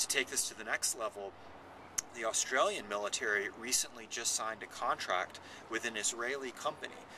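A man talks at a moderate pace with fairly even intonation. The sound is dry with no echo, and there is noticeable background noise. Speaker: author on military technology. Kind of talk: interview. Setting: public festival venue.

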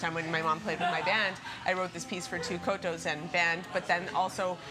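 Loud background noise surrounds a woman speaking at a fairly quick pace. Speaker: interviewee. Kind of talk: interview answer. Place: cafe. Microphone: camera far.

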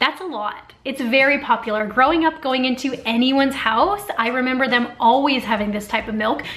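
A woman speaks with a high pitch. She hardly pauses at all. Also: ordinary pitch variation, moderate pace. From Canada, Ontario. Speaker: YouTuber. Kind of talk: casual talk to camera. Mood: friendly, lightly animated. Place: home room.

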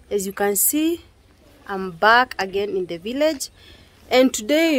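A woman speaking at a very slow pace, dry sound with no echo, crowd noise in the background. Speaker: vlogger. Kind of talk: casual vlog chat. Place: garden. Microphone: phone near.

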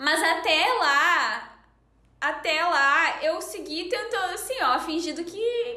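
Speaking very slowly with an extremely high pitch, a woman in a Gaúcho Brazilian accent uses a raised, projected voice with a bright, sharp tone and lively intonation, with audible room echo over a quiet background. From Rio Grande do Sul, Brazil. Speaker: podcast host. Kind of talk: casual chat, podcast hosting. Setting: video call. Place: home room.

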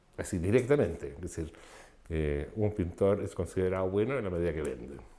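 Lively intonation colors this man's dark, mellow tone. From Chile, Concepción. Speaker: artist. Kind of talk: interview. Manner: halting, with many repetitions and fillers.

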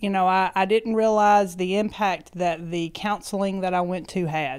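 Against a quiet background, a woman with an East Tennessee accent speaks at a fairly low pitch with fairly even intonation. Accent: Southern US (East Tennessee). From US South (East Tennessee). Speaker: schoolteacher. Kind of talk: interview, personal health story. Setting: office. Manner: laughs often. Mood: warm, reflective personal story. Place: studio. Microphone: handheld.

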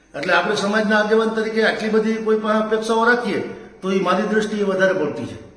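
A man with a high voice speaks amid noticeable background noise and audible room echo. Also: fairly even intonation. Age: 50s. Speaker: community activist. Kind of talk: public statement video.

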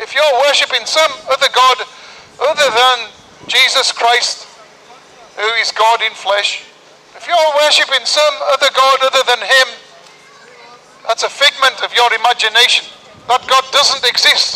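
A man speaks in an extremely high-pitched voice, with long, frequent pauses and fairly even intonation. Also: moderate pace. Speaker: street preacher. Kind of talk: sermon. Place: street.

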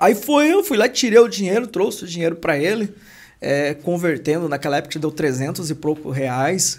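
Against a quiet background, a man talks at a moderate pace with a high pitch and lively intonation. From interior of São Paulo state, Brazil. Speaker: construction entrepreneur and YouTuber; podcast guest. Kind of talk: casual interview. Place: studio. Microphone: studio mic.

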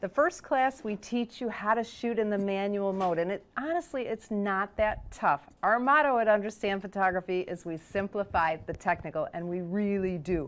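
Her delivery moves along at a moderate speed. The woman's intonation rises and falls in a lively way. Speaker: show host, photography teacher. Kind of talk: podcast host promo talk. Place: studio. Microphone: lapel.

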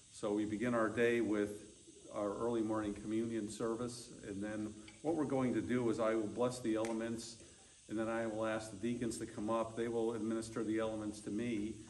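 At a fairly quick pace, a man speaks in a flat monotone over light background noise. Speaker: pastor leading a service. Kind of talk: church service instructions and prayer. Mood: calm, solemn. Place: church. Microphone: camera far.

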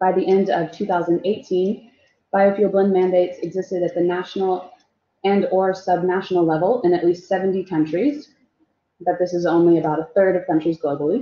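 A normal speaking voice, its intonation fairly even and its speed moderate. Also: woman, medium pitch for a woman. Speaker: renewable energy policy researcher. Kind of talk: webinar presentation. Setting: video call.

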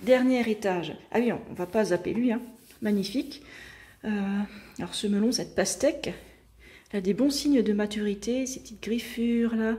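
Breathing somewhat audibly, a woman with a fairly high, dark, mellow voice speaks at a moderate pace with ordinary pitch variation and long, frequent pauses. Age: 30s. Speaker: lifestyle YouTuber and nutrition coach; lifestyle YouTuber, nutrition coach. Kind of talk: casual home tour video. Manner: chatty, with frequent hesitations. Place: kitchen. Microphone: phone near.

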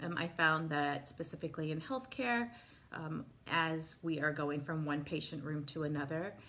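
A woman's very deep, low voice with a gentle tone over light background noise. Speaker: wellness instructor. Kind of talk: guided meditation. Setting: live video call. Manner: calm, soft-spoken; slow, gentle, paced with pauses. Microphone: phone near.

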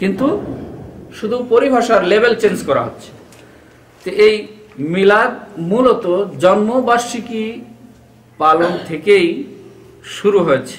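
This man talks in a high pitch with ordinary pitch variation. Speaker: religious teacher. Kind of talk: lecture. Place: office. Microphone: camera far.

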